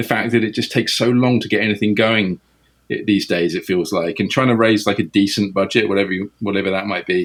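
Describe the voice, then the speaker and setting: A man with an English accent at a very fast pace. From England. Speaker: film director. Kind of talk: interview. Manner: halting.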